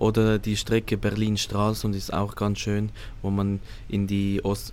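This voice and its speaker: The delivery moves at a fairly slow pace. Its intonation is monotone and flat. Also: man. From Switzerland. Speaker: cruise ship hotel manager. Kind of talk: interview. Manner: halting, hesitant.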